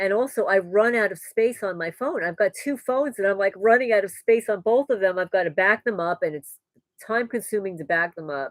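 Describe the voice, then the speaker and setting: A woman with a New York accent and ordinary pitch variation, in a dry, close sound without echo. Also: medium pitch for a woman, fairly quick pace. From New York, the Bronx. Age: 60s. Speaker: homesteading vlogger. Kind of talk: live stream Q&A chat.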